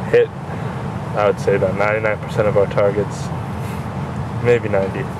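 A man speaks at a very fast pace over loud background noise. The sound is dry, with no echo. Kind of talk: casual vlog chat. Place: train. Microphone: phone near.

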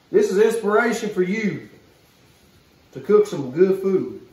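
Audible room echo surrounds the man as he talks. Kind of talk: casual cooking vlog chat. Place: kitchen.

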